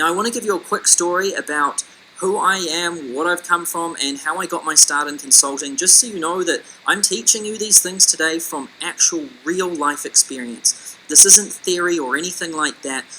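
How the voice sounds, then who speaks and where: A man speaks with a New Zealand accent in a high voice. There is noticeable background noise behind him. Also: ordinary pitch variation, moderate pace. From New Zealand, Auckland. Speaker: business consultant. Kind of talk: webinar sales presentation.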